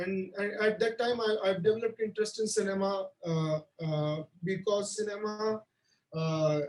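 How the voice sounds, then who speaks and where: A man talks at a moderate pace in a high pitch with a Marathi accent. His intonation is fairly even. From India, Maharashtra (Solapur area). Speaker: film director. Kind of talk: interview. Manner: halting, many fillers and repetitions.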